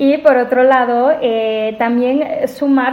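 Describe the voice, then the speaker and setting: Her intonation stays fairly even while this woman speaks with a fairly high pitch. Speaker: AI policy researcher. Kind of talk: interview conversation.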